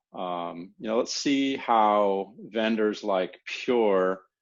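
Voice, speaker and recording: A man with an American accent speaks in a plain, everyday voice, fairly low in pitch with ordinary pitch variation. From USA. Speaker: solutions engineer. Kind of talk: partner training presentation. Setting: room with audience. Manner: casual, many filler words.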